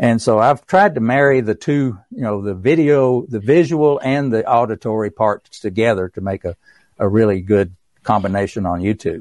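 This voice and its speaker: With an East Tennessee accent, a man speaks with ordinary pitch variation. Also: medium pitch for a man, moderate pace, dry, close sound with no echo, quiet background. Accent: East Tennessee Southern US. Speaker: author and songwriter. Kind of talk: casual interview, storytelling.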